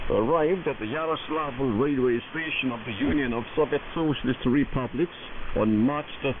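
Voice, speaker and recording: There is noticeable background noise. A man speaks over it at a moderate pace. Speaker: shortwave radio news announcer. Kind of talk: state radio news broadcast. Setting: shortwave AM radio broadcast.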